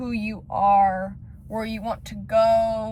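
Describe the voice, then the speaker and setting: A woman speaks with an American accent. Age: 20s. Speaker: lifestyle vlogger. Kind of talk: personal vlog monologue.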